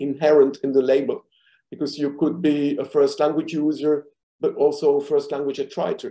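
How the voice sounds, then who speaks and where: A man with a non-native accent, a fairly high pitch, a dark, mellow tone and fairly even intonation. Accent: foreign accent in English. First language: not English. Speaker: linguistics professor. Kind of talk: academic presentation. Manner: many filler hesitations.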